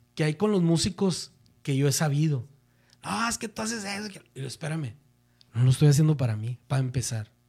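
Fairly quick overall yet broken by long, frequent pauses, a man with a northern Mexican accent speaks in a somewhat breathy, dark, mellow voice at a fairly high pitch with very wide pitch swings. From northern Mexico, Monterrey. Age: 40s. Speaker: music producer. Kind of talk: casual chat.

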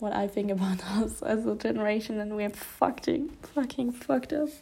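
A woman talks at a fairly slow pace with a dark, mellow tone. Her fairly high voice sounds somewhat breathy. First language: not English. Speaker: podcast host. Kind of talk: casual monologue. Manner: hesitant, many fillers.

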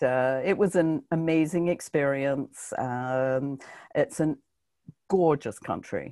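Lively intonation comes through at a fairly slow pace in a very clean recording with a silent background. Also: woman. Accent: British. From Britain. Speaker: book marketing coach. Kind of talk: interview.

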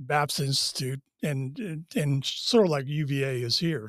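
A man's plain, everyday voice with an American accent, fairly high in pitch with ordinary variation, dry and close with no echo, on a very clean recording with a silent background. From US Northeast (Massachusetts). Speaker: retired naval officer. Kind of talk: interview storytelling.

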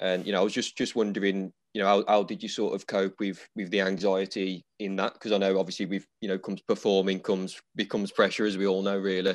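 In an English accent, a man speaks at a very fast pace with hardly any pauses, his fairly low pitch held in a monotone, flat intonation. The background is quiet. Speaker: podcast host and barber. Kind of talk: casual interview chat. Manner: casual, fillers.

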